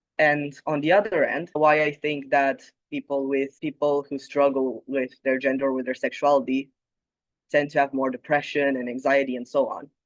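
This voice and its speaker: A man's fairly high voice with a Romanian accent, monotone and flat, at a moderate pace, with a dry, close sound and no echo. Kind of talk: conference talk.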